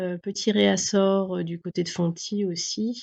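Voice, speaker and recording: The speech shows ordinary pitch variation against a quiet background. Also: woman. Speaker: yarn shop owner presenting new stock. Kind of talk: casual product presentation video. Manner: hesitant, many filler sounds.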